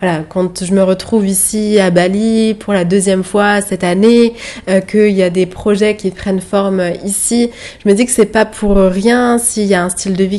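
A woman speaks at a moderate pace, her medium pitch held in a monotone, flat intonation. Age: 20s. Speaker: podcast host and digital marketing entrepreneur. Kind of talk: solo podcast monologue. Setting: outdoors overlooking rice fields in Bali.

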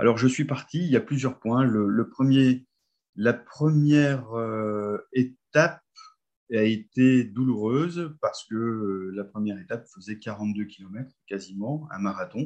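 Speaking at a very slow pace, a man uses a medium pitch with ordinary pitch variation. His loudness swings widely. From northern France (Nord, near Lens). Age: 50s. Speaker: nordic walking coach. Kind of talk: guided visualization storytelling.

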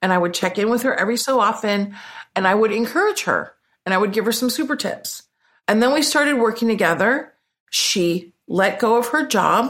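In a very clean recording with a silent background, an ordinary speaking voice with an American accent talks at a fairly quick pace. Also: woman, fairly high pitch for a woman, ordinary pitch variation, very even loudness. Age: 50s. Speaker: business coach. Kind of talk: interview.

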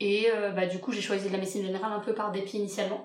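Room echo is clearly audible here. The woman's voice sits at a medium pitch. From France, Lyon. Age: 20s. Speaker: general practice resident. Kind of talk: casual interview.

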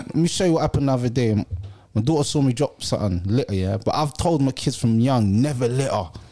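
With a London accent, a man of medium pitch speaks very fast in a dark, mellow tone, his intonation lively and his loudness very even. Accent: London Multicultural English. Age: 30s. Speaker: podcast host. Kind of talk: casual chat.

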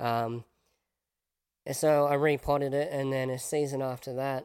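A man with an Australian accent speaks fairly slowly at a medium pitch in a monotone, flat intonation. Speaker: podcast host. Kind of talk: casual interview chat.

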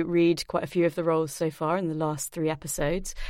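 A woman with a British accent speaks in a fairly low pitch, recorded very cleanly against a silent background. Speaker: podcast presenter. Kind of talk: scripted presenting and interview.

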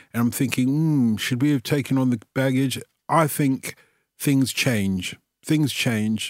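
A man with a London accent, medium in pitch, fairly slow, with ordinary pitch variation and very even loudness. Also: very clean recording, silent background. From London, England (Tottenham, North London; also South London). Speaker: football radio presenter. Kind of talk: casual interview chat.

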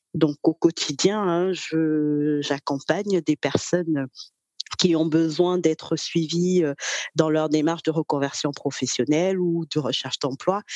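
A woman speaks at a very slow pace with a very deep, low pitch. Her voice sounds dry and close, with no echo. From Cameroon. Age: 30s. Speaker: career coach. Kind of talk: interview. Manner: hesitant, many fillers.

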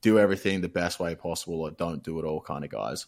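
A man speaks with an Australian accent. His pitch is very deep and low. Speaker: gaming caster and streamer. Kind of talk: casual chat. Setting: remote call.

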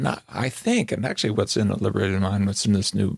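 With an American accent, a man speaks at a fairly low pitch with vocal fry, in a dry, close sound with no echo on a very clean recording with a silent background. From Southern California. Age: 70s. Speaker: psychologist and author. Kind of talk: interview conversation.

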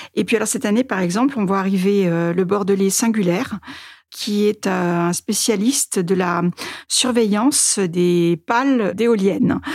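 Here is a woman with an unremarkable speaking voice, a medium pitch and ordinary pitch variation. She goes at a fairly slow pace, her loudness very even. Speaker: newspaper editor-in-chief. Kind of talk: interview.

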